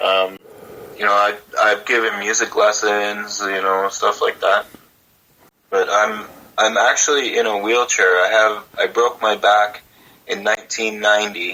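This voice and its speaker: A man speaks with a Western Canadian accent. His intonation is monotone and flat. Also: fairly low pitch for a man, fairly slow pace. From Ontario, Canada. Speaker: creative consultant for musicians. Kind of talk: interview. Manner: halting, many repetitions and fillers.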